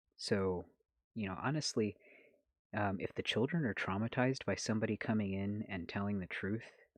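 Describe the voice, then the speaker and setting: A soft-spoken man with fairly low pitch and ordinary pitch variation talks at a fairly quick pace against a quiet background. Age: 30s. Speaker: ex-Jehovah's Witness activist and vlogger. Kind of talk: casual live stream chat reading comments. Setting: late-night live stream at home. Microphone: holding phone very close.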